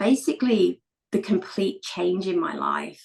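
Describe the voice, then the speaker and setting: Somewhat breathy, a woman with a British accent swings her pitch very widely. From England. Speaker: elite wheelchair racer and entrepreneur. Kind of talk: podcast interview, personal story.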